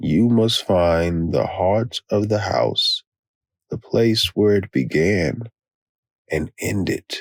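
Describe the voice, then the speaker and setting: Putting on a character voice, a man speaks very slowly in a raspy, fairly low voice with ordinary pitch variation, the sound dry and close with no echo. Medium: read story. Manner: trembling, desperate.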